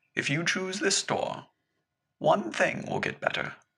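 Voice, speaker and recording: A man's put-on character voice, wheezy and high-pitched, at a fairly slow pace. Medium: read story. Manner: gentle, knowing.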